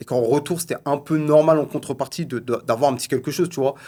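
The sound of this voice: A man's medium-pitched voice, dark and mellow in tone, with ordinary pitch variation and a fast pace.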